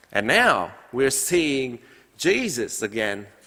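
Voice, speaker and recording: Speaking at a very slow pace, a man is heard over noticeable background noise. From Indonesia. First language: Indonesian. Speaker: pastor. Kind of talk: sermon. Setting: church.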